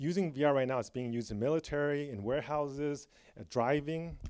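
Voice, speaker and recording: Medium in pitch, this man talks at a fairly quick pace. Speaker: tech executive giving a conference talk. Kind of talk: conference keynote. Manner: fast.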